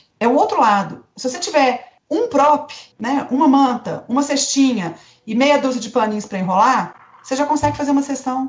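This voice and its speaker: A woman's high-pitched voice at a moderate pace, with a Minas Gerais accent. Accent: Minas Gerais Brazilian Portuguese. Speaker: family and newborn photographer. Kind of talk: podcast interview answer.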